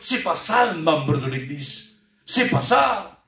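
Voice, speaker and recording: A man at a fairly slow pace with audible room echo and music in the background. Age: 60s. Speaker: church elder preacher. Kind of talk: sermon.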